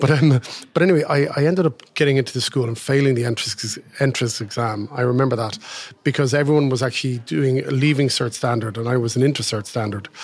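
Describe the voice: A man with a slightly husky edge talks at a fast pace with few pauses, holding a medium pitch and ordinary pitch variation.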